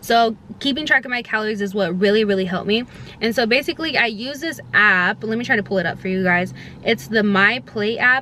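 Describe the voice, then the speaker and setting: A woman's fairly high voice, fairly quick in pace, with ordinary pitch variation and noticeable background noise. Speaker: lifestyle vlogger. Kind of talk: casual vlog talk to camera. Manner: fast; many filler ums.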